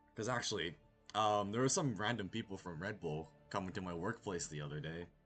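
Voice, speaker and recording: Over music in the background, a man talks at a fairly quick pace in a fairly low pitch with ordinary pitch variation. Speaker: video game streamer. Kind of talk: casual chat. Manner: stuttering.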